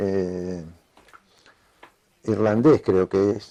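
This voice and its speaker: The man's tone is dark and mellow. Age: 70s. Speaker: writer. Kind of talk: interview. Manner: hesitant, many filler sounds.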